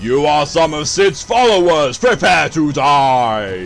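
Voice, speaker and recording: A man does a put-on character voice at fairly high pitch. He goes at a fairly slow pace over clear background noise. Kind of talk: theatrical, menacing. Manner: ridiculous, over the top.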